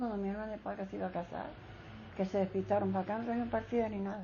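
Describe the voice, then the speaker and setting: A woman talks at a very fast pace. Her intonation is fairly even. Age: 80s+. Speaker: elderly interviewee. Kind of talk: oral history interview. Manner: halting.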